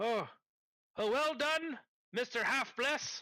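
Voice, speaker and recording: Speaking at a fairly slow pace, a man uses a put-on character voice at an extremely high pitch. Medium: actual play. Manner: hesitant, fussy.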